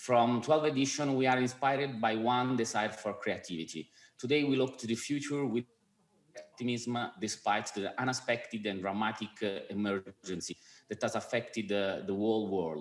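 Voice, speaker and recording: This man talks at a moderate pace with medium pitch and ordinary pitch variation. The recording is very clean, with a silent background. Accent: Italian. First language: Italian. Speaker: film festival president. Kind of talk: award presentation speech.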